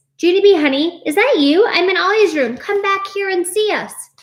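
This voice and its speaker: In a put-on character voice, a female-sounding speaker squeaks along at an extremely high pitch and a fairly quick pace. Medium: read story.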